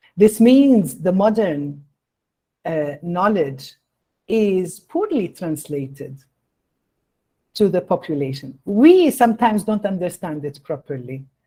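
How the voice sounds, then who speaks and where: A woman with a dark, mellow, somewhat breathy voice speaks at a very slow pace, with very wide pitch swings and long, frequent pauses. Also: medium pitch for a woman. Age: 60s. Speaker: invited lecturer, public health expert. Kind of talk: answering audience question in lecture. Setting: online meeting.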